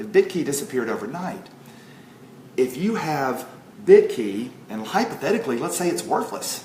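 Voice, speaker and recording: The pitch swings very widely. Noticeable background noise and audible room echo are present. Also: man. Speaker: network marketing promoter. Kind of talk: sales pitch. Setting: home livestream at kitchen table. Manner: loud; animated.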